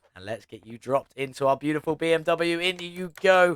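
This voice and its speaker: With a British accent, a man speaks upbeat and fairly quick, his fairly high pitch showing ordinary variation, in a dry, close sound with no echo. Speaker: gaming youtuber. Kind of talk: gameplay commentary. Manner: casual, upbeat.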